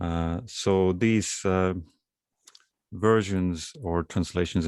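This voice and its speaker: Recorded very cleanly against a silent background, a man with an Estonian accent speaks at a very deep, low pitch with fairly even intonation. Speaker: poet. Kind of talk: poetry reading.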